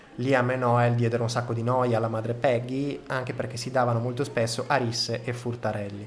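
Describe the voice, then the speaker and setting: A man with a strong Emilian accent at a medium pitch, fairly quick and monotone, with hardly any pauses, noticeable background noise and audible room echo. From Reggio Emilia, northern Italy. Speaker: podcast host. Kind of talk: storytelling podcast monologue.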